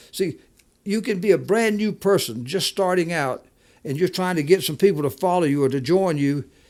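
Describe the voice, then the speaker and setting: On a very clean recording with a silent background, a man speaks at a high pitch. He has a Southern US accent. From US South. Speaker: podcast co-host, entrepreneur. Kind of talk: casual chat. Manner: halting, repetitive.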